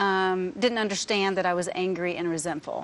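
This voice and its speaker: A woman talks at a moderate pace with an American accent. Her pitch is fairly low and her intonation fairly even. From Texas, Grand Prairie. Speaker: guest sharing testimony. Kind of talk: testimony. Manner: halting.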